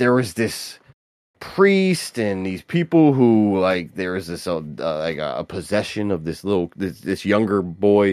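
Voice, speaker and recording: A plain, everyday voice, this man speaks fairly slowly at a fairly low pitch with lively intonation. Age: 40s. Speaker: podcast co-host. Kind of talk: casual chat. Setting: live stream.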